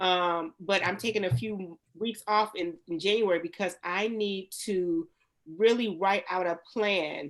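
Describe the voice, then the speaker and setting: This woman has an unremarkable speaking voice at a medium pitch. Her pitch varies in an ordinary way. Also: fairly slow pace. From Youngstown, Ohio. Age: 30s. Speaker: nail salon owner. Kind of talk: panel discussion. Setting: studio.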